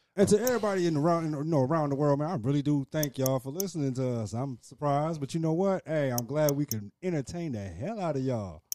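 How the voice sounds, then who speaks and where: A man talks at a very fast pace with hardly any pauses. His fairly high voice has a dark, mellow tone and lively intonation. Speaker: podcast co-host. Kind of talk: casual chat. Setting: studio.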